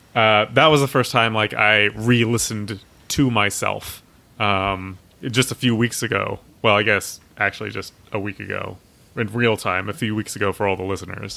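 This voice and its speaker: With an American accent, a man speaks at a fairly low pitch and a moderate pace, his bright, sharp tone carrying vocal fry and fairly even intonation. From Texas, Austin. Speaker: board game podcast co-host. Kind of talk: casual chat.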